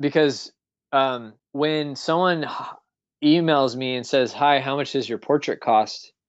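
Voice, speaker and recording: A man's intonation stays fairly even as he talks at a fairly slow pace. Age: 30s. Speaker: illustrator and animator. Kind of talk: interview. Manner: halting, many fillers.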